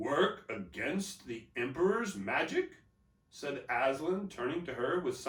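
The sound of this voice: The voice heard is an unforced reading voice.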